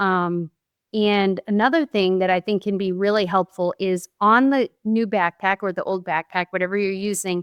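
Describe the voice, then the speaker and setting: Against a quiet background, a woman with a Boston accent speaks at a moderate pace with fairly even intonation, the sound dry and close with no echo. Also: medium pitch for a woman. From Boston area, US. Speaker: former teacher, parent advocate. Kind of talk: podcast interview.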